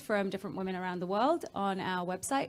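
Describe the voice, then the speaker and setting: A woman speaks in an English accent with fairly even intonation. The recording is very clean, with a silent background. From England. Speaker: travel blogger. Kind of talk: panel discussion.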